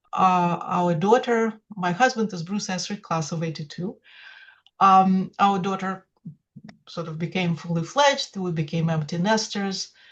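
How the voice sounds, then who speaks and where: In a Russian accent, a woman speaks at a moderate pace with a medium pitch and ordinary pitch variation. Her voice is somewhat breathy and swings widely in loudness. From Russia, St Petersburg (Leningrad). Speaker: poetry translator, former data scientist. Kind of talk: interview. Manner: halting, many fillers.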